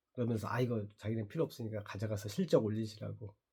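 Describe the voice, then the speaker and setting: Somewhat breathy, the man's voice has a dark, mellow tone. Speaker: vlogger, channel owner. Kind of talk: casual monologue vlog. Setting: morning video diary.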